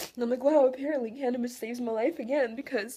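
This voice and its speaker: A woman speaks with a high pitch. Noticeable background noise sits behind her voice. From Russia. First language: Russian. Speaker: vlogger. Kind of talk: emotional personal monologue. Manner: halting, emotional.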